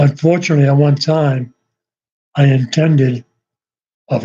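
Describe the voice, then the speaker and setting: Speaking at a moderate pace, a man has a dark, mellow, somewhat breathy tone and a monotone, flat intonation. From Massachusetts, north of Boston. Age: 70s. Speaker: YouTuber. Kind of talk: casual live-stream monologue. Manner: rambling, hesitant with fillers.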